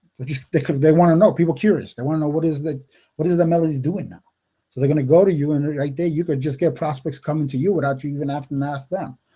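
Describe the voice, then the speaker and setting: This man has an American accent and a dark, mellow, somewhat breathy tone. He talks at a very fast pace with a fairly high pitch and fairly even intonation. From upstate New York. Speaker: network marketing coach. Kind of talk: live webinar talk. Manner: casual, filler-heavy.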